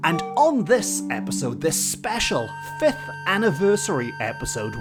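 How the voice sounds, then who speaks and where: The speaker's pitch swings very widely at a fairly slow pace as music plays in the background. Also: man. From Wales. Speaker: podcast host, storyteller. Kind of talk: podcast narration.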